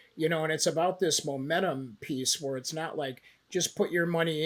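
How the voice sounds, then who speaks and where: A man speaks in a plain, everyday voice, fairly high-pitched, at a moderate pace with ordinary pitch variation. The recording is very clean and the background is silent. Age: 60s. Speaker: investment banker. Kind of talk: podcast interview. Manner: casual, many fillers.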